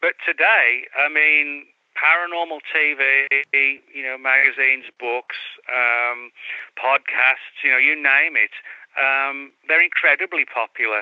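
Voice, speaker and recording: Speaking very slowly with an English accent, a man keeps a fairly high pitch and fairly even intonation. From England. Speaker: author. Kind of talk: interview. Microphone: laptop audio problems.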